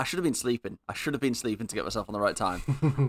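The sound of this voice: A man with a northern English accent talks very fast in a fairly high, bright, sharp voice. The sound is dry and close, with no echo.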